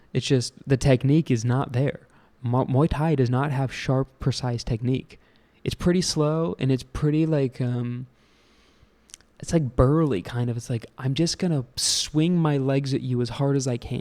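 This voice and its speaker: Speaking with an American accent, a man has a dark, mellow tone at a medium pitch and a moderate pace. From USA. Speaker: podcast host, air force veteran and expat. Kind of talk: casual rant. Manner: animated.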